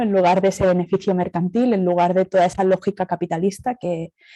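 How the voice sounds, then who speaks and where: In a Catalan accent, a woman speaks at a fairly quick pace and medium pitch. Her tone is dark and mellow, and the sound is dry and close with no echo. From Catalonia, Spain. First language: Catalan (speaking Spanish). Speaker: speaker at academic colloquium, cooperative representative. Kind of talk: conference talk. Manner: hesitant, many fillers.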